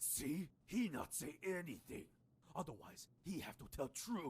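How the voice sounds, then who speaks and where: A man's put-on character voice, fairly high in pitch, with lively intonation at a fairly slow pace. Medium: video game. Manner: clipped, broken English.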